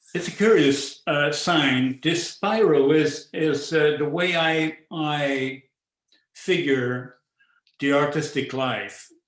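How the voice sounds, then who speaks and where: Speaking at a very slow pace, a man uses a Quebec accent. His pitch is fairly high and his intonation fairly even. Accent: French-Canadian accent in English. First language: French. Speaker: visual artist. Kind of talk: artist talk. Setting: virtual talk. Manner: halting, with frequent repetitions and fillers.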